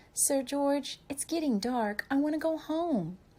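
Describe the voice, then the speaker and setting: Putting on a character voice, a woman speaks at a fairly slow pace with a high pitch. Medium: read story.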